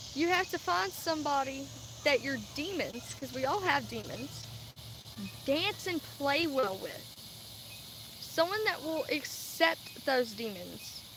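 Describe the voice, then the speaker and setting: Against noticeable background noise, a woman with an American accent speaks at a very slow pace with long, frequent pauses. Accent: Southern US, Cajun-Texan. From Louisiana and Texas. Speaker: vlogger. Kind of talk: casual livestream monologue. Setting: live stream.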